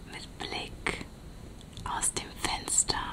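Whispered speech from a woman at a very slow pace. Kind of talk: ASMR role-play, soft-spoken. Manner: soft, hushed ASMR voice. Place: home room.

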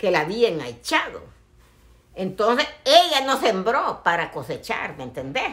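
Very wide pitch swings at a fairly slow pace. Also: woman, fairly high pitch for a woman. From El Salvador. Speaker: social media personality; family vlogger telling a story. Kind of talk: casual chat. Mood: animated, indignant storytelling. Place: home room. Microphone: phone near.

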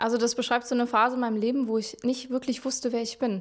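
Against a quiet background, a woman talks at a fairly quick pace in a fairly high voice. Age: 20s. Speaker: singer-songwriter; interviewee. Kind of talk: interview. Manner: hesitant, many filler sounds. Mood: thoughtful, calm. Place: office. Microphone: handheld.

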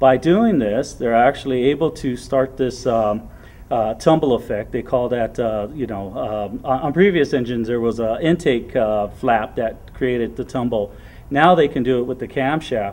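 His pace is moderate. The man's pitch moves up and down in an ordinary way. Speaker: technical training instructor. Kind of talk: technical explanation to a group. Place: workshop. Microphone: camera far.

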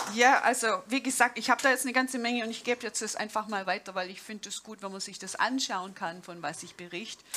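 A woman's fairly high voice with a slight Swabian accent, very fast with hardly any pauses, big swings in loudness, ordinary pitch variation and light background noise. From Swabia, southern Germany. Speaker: jazz pianist and professor; speaker. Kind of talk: conference talk. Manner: informal, with hesitations. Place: stage. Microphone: headset.

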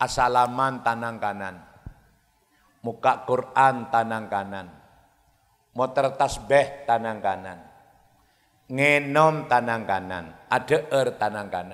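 Pitched at a medium level, a man speaks at a very slow pace with long, frequent pauses. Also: ordinary pitch variation, quiet background. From East Java, Indonesia. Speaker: Islamic preacher. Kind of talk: sermon. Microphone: handheld.

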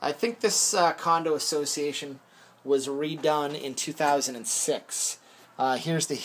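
A man is talking here. The rise and fall of his pitch is ordinary. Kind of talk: property tour narration. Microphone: phone near.

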